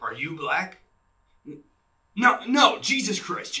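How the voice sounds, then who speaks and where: A man puts on a character voice with a high pitch, speaking at a fairly slow pace. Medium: stage.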